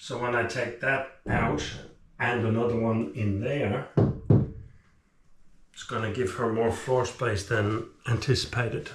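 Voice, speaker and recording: A man at a fairly slow pace, with long, frequent pauses, over loud background noise. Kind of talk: casual vlog chat. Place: bathroom. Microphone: camera far.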